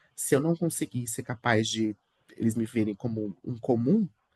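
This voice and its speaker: A man with ordinary pitch variation, dry, close sound with no echo. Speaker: religious leader and corporate manager. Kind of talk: interview conversation. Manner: fast; talkative, many fillers.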